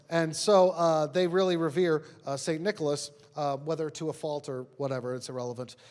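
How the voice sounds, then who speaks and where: With a New York accent, a man talks fairly quickly in a fairly high voice with ordinary pitch variation. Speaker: pastor. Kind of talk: sermon. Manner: casual, conversational with fillers.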